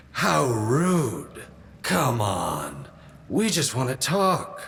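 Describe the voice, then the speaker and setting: In a put-on character voice, a man at medium pitch speaks at a very slow pace with a smug, menacing tone. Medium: audio drama. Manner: smug, mocking, menacing.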